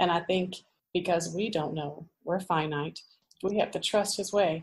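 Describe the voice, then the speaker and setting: At a moderate pace, a woman talks in a somewhat breathy, fairly low-pitched voice. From US Midwest, central Illinois. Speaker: pastor's wife. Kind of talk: interview conversation.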